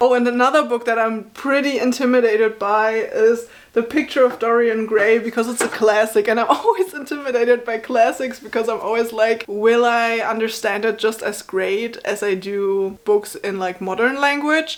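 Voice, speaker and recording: The speaker has a German accent and ordinary pitch variation. There are hardly any pauses. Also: woman. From Germany. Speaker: book vlogger. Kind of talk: casual chat.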